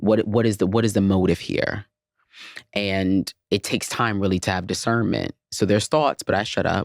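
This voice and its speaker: In an unremarkable speaking voice, a man with an American accent and fairly low pitch talks at a moderate pace, with fairly even intonation and very even loudness, in a dry, close sound with no echo on a very clean recording with a silent background. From US South, Atlanta. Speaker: content creator. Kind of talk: casual interview.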